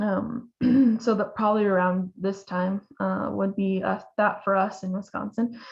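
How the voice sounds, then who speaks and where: Speaking in an American accent, a woman uses a medium pitch, a somewhat breathy voice and monotone, flat intonation at a fairly slow pace. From Oklahoma. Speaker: veterinarian. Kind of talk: webinar lecture. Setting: online webinar. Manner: hesitant, many fillers.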